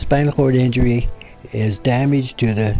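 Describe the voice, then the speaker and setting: Music plays in the background as a man speaks at a fairly slow pace with a medium pitch and fairly even intonation. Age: 70s. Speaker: quadriplegic spinal cord injury survivor. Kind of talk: personal life story talk. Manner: hesitant, halting.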